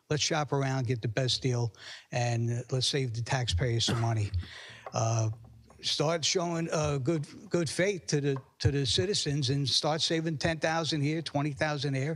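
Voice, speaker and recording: This man's fairly high-pitched voice is somewhat breathy, with ordinary pitch variation. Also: moderate pace, very even loudness. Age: 60s. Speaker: public commenter at council meeting. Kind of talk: public comment at town council meeting. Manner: halting, many repetitions and fillers.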